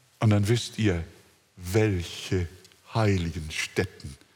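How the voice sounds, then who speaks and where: A man's very deep, low voice comes through somewhat breathy. His intonation stays fairly even. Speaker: preacher. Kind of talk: sermon, expository preaching with congregational call-and-response. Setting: church with congregation. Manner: fervent, emphatic, rising to exultant; rhetorical, addresses listeners directly.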